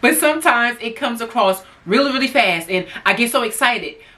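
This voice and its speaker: This is a woman with an ordinary speaking voice. She talks at a moderate pace and a fairly high pitch. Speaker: lifestyle YouTuber and hairdresser. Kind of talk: casual talk to camera. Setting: alone in a room.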